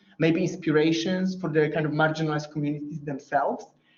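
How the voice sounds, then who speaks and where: Speaking with a Polish accent, a man talks at a fairly quick pace in a high pitch with ordinary pitch variation. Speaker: academic researcher. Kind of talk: Q&A after lecture. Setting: lecture room with online audience. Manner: halting.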